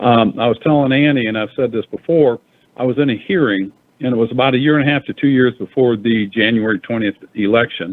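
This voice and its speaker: A man talks at a very fast pace, his medium pitch showing ordinary variation. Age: 60s. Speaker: former congressman, radio co-host. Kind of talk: talk radio discussion.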